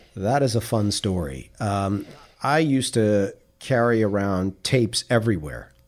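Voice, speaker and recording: A man's normal speaking voice with an American accent, fairly low in pitch, with lively intonation, a fairly slow pace and very even loudness, on a very clean recording with a silent background. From Queens, New York. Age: 50s. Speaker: media coach, former TV reporter. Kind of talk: interview.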